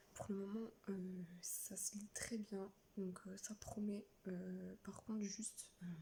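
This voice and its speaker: Soft-spoken and somewhat breathy, a woman talks at a very slow pace with a dark, mellow tone and monotone, flat intonation. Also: medium pitch for a woman. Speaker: book vlogger. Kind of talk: casual vlog. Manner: hesitant, many fillers.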